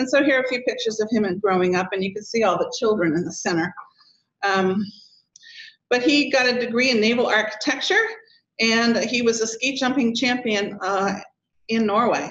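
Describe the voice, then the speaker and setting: A woman at a fairly high pitch with ordinary pitch variation, a fairly quick pace broken by long, frequent pauses, amid audible room echo. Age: 60s. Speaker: daughter of a polar explorer, speaker. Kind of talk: lecture. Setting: stage with audience.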